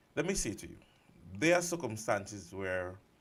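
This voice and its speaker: This man speaks with vocal fry while his pitch swings very widely. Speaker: radio talk show host. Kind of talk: talk radio commentary. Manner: soft-spoken.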